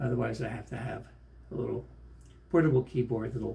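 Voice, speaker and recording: A man is speaking. He is soft-spoken. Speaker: pianist. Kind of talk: casual chat. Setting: hotel room.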